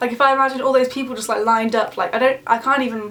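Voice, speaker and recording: Very fast speech from a woman, with noticeable noise in the background. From English Midlands. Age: 20s. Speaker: beauty and lifestyle vlogger. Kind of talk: casual chat to camera. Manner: chatty, casual.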